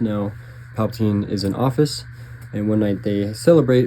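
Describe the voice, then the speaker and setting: A man speaks at a medium pitch, fairly slowly and with fairly even intonation. There is noticeable background noise behind him. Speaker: book reviewer. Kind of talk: casual monologue. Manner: hesitant, many fillers.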